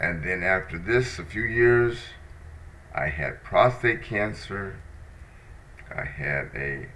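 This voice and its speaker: A man's very deep, low voice at a very slow pace with lively intonation, with noticeable background noise and audible room echo. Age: 60s. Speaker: podcast host. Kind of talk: personal monologue. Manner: hesitant, with fillers.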